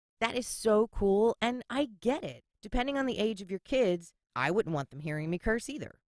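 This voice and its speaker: A woman talks at a moderate pace with very wide pitch swings, in a dry, close sound with no echo. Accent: Philadelphia. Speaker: podcast host. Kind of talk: casual podcast monologue. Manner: sassy, sarcastic.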